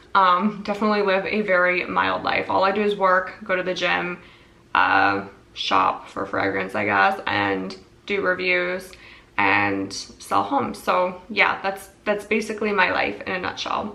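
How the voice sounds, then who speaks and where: A woman with an American accent at a fairly slow pace, amid noticeable background noise and audible room echo. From US Midwest, Minnesota. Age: 30s. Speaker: perfume reviewer and real estate agent. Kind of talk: casual product review vlog.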